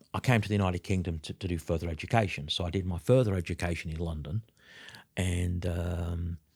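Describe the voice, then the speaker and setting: The voice is somewhat breathy with a dark, mellow tone, its sound dry and close with no echo on a very clean recording with a silent background. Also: man. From South Africa, Durban. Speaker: business consultant and trainer. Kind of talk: interview. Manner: hesitant, many fillers and repeats.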